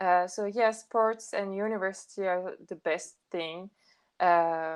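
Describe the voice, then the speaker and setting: A woman with a French accent at a very slow pace, her intonation fairly even. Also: medium pitch for a woman. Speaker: podcast guest. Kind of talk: casual chat. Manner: halting.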